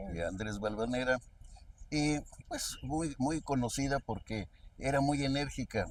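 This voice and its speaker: A man with a central Mexican accent speaks at medium pitch with ordinary pitch variation and a fairly slow pace. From Querétaro, Mexico. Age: 80s+. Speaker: state chronicler, historian. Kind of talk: interview, storytelling.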